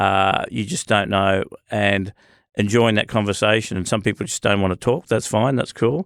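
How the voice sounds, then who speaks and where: On a very clean recording with a silent background and a dry, close sound with no echo, a man with an Australian accent talks at a moderate pace with a fairly low pitch and ordinary pitch variation. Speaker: business owner. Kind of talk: casual chat. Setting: studio.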